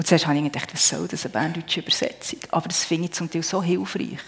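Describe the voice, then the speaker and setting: Over noticeable background noise, a woman talks in a fairly low pitch with ordinary pitch variation. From Switzerland, Emmental (Bern). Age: 40s. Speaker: churchgoer, homemaker. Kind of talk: testimony. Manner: halting.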